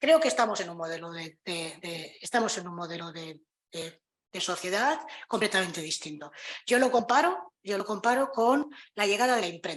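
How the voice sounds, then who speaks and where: A woman speaks at a moderate pace. Her pitch swings very widely, and her loudness rises and falls sharply. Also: medium pitch for a woman. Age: 60s. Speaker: panel speaker. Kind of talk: conference talk. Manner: halting, many repetitions.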